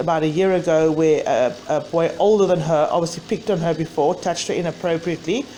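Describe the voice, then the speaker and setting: A woman's fairly low-pitched voice at a very fast pace, very even in loudness, with ordinary pitch variation and noticeable background noise. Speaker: mother of a bullied child. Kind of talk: personal testimony to camera.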